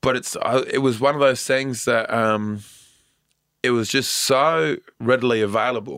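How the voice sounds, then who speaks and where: Using a normal speaking voice, a man holds a medium pitch and a moderate speed, with ordinary pitch movement. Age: 30s. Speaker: stand-up comedian. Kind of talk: interview.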